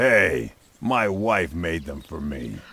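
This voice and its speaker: A man puts on a raspy character voice with a very deep, low pitch. His pitch swings very widely. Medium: video game.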